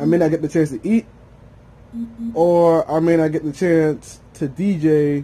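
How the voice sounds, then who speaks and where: Dark and mellow in tone, a man's voice sits at a fairly high pitch with ordinary pitch variation. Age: 20s. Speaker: vlogger and DJ. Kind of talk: casual monologue vlog. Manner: mumbling when lazy; rambling, with many fillers.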